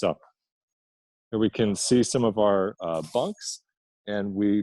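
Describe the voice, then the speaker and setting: At a fairly slow pace, a man's dark, mellow tone comes through in a dry, close sound with no echo. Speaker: nonprofit leader. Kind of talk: guided tour presentation. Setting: homeless shelter, filmed walk-through. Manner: lowered voice.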